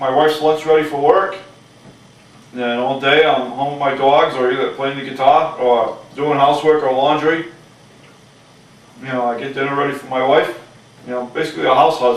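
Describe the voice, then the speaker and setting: Over noticeable background noise and audible room echo, a man with a fairly high voice talks at a moderate pace with fairly even intonation, big swings in loudness, and long, frequent pauses. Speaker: stay-at-home husband. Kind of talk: casual home interview. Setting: at his home, on camera.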